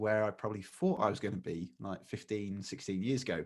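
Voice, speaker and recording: A man with an East Midlands accent talks at a very fast pace. The recording is very clean, with a silent background. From England, Lincolnshire. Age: 30s. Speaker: magician and speaker. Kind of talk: podcast interview.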